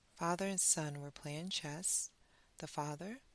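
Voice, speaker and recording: A soothing, calm tone with fairly even intonation moves at a fairly slow pace on a very clean recording with a silent background. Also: woman. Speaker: bedtime story reader. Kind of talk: sleep story.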